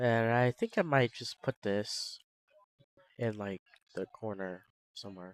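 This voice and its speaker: A soft-spoken man of medium pitch talks at a fairly slow pace with ordinary pitch variation. The sound is dry and close, with no echo. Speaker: game developer streamer. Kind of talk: casual live coding stream. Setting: live stream. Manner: soft-spoken, quiet; casual, halting with fillers.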